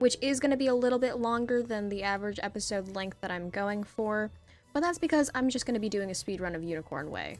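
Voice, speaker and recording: With music in the background, a woman talks at a very fast pace, her pitch fairly high and varying in an ordinary way. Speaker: gamer. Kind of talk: casual gameplay commentary. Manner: casual, chatty.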